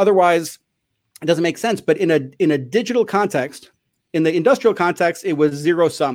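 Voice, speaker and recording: A man with an American accent speaks at a high pitch, leaving long, frequent pauses, in a very clean recording with a silent background. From Chicago. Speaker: school principal and author. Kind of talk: interview.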